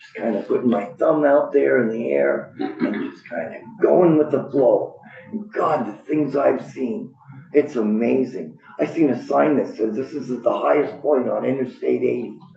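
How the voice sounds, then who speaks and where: Big swings in loudness against noticeable background noise. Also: man, moderate pace. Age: 60s. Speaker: public witness, Navy veteran. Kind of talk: public testimony. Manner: rambling, halting.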